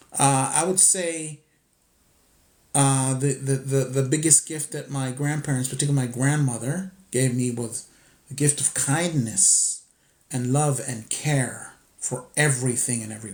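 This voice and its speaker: At a fairly slow pace, a man talks in a medium pitch that is somewhat breathy, his intonation fairly even. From Costa Rica, then New York City from age eleven. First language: Spanish. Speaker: spiritual teacher, livestream host. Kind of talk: livestream chat answering viewer questions. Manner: halting, many fillers and restarts.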